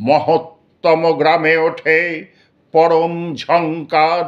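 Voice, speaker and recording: A man talks in an ordinary speaking voice, pitched fairly high. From Kolkata. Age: 60s. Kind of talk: poetry reading.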